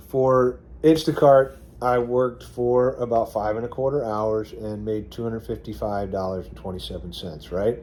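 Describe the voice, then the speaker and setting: A man with a dark, mellow tone speaks at a moderate pace, using ordinary pitch variation and big swings in loudness. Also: medium pitch for a man. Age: 60s. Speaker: gig delivery and rideshare driver vlogger. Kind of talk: casual tutorial vlog. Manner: conversational with frequent fillers and restarts.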